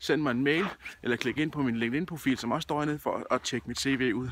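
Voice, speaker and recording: A man speaks at a moderate pace in a fairly high voice with a bright, sharp tone. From Denmark, Odense (Funen). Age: 30s. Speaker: job seeker, event project manager. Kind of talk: self-promotional video appeal. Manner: casual, with frequent filler hesitations.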